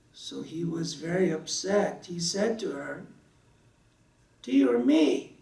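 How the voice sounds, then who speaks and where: With audible room echo, a man with an American accent speaks very slowly with long, frequent pauses, his high, dark, mellow voice showing ordinary pitch variation and big swings in loudness. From US South. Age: 60s. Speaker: religious speaker. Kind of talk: sermon.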